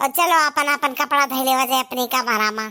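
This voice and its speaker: A cartoonish character voice at a fairly quick pace with fairly even intonation. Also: woman, high pitch for a woman. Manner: rustic, plaintive.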